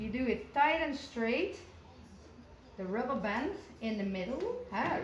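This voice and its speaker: Audible room echo surrounds a woman speaking fairly slowly with a non-native accent. Her pitch is fairly high. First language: not English. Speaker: showjumper. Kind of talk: tutorial. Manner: halting.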